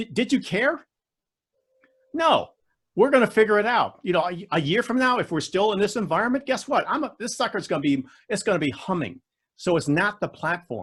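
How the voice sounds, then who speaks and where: Long, frequent pauses break up a man's fairly quick speech, delivered in a high pitch with very wide pitch swings and an American accent. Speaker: public speaking champion and coach. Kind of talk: Q&A in online club meeting. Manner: animated.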